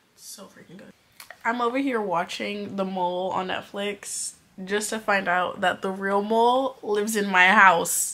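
Her loudness swinging widely, a woman with an American accent and medium pitch speaks at a moderate pace. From California. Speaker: lifestyle vlogger. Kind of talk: casual vlog talk to camera.

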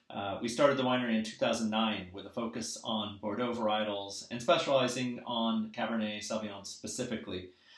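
A man speaks at a fairly quick pace in a fairly low voice with a fairly bright tone, and the room echo is audible. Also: fairly even intonation.

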